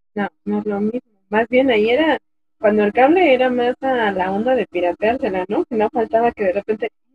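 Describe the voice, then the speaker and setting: Music plays in the background as a woman talks at a fairly quick pace. Her pitch is fairly high, with ordinary variation. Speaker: podcast co-host. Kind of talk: casual chat. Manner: speaking as loudly as she can. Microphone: low volume, technical problems.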